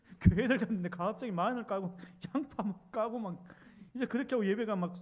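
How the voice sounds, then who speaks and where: This man talks very fast, and his pitch varies in an ordinary way. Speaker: pastor. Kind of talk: sermon.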